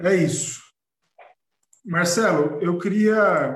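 In a space with audible room echo, a man speaks at a high pitch. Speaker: blog editor and event host. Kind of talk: live-streamed panel discussion.

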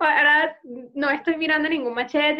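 A woman's raised, projected voice with a bright, sharp tone, at a moderate pace. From Venezuela. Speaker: psychologist and podcast co-host. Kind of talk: casual chat.

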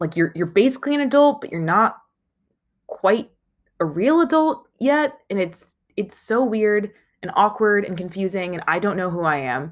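At a moderate pace, the intonation is lively on a very clean recording with a silent background. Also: woman, medium pitch for a woman.

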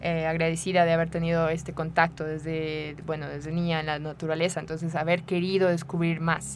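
A woman with a fairly low voice talks at a fairly quick pace with hardly any pauses and monotone, flat intonation. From Mexico, Querétaro. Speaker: rock climbing coach. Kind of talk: radio interview.

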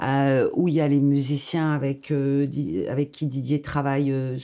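A woman with a very deep, low pitch and a dark, mellow tone speaks at a fairly slow pace with hardly any pauses and very even loudness against a quiet background. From Algeria. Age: old. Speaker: storyteller. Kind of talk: personal storytelling podcast.

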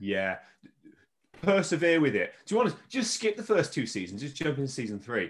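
On a very clean recording with a silent background, a man with a fairly high pitch and vocal fry talks at a fairly quick pace, with very wide pitch swings and big swings in loudness. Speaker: teacher. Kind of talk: casual chat. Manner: fast talker.

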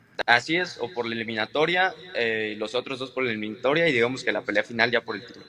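A man talking at a very fast pace with hardly any pauses, big swings in loudness and ordinary pitch variation, against noticeable background noise. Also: medium pitch for a man. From Mexico. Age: 20s. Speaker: professional boxer. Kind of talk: interview.

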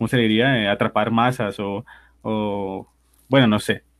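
A man talks at a fairly slow pace. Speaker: podcast co-host guesting on another show. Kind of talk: casual chat.

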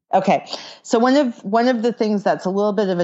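An ordinary speaking voice with an American accent. It moves at a fairly quick pace with ordinary pitch variation. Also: woman. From California. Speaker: author and grammar teacher. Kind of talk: interview.

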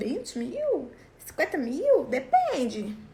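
A woman speaks in an animated tone. Noticeable background noise runs underneath. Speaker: sales coach for lingerie sellers. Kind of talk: online class. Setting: live stream.

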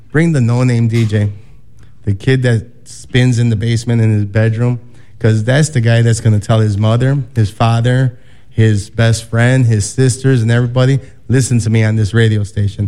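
The voice has a dark, mellow tone, monotone and flat in intonation, with very even loudness at a moderate pace. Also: man, medium pitch for a man. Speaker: DJ. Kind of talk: casual DJ talk.

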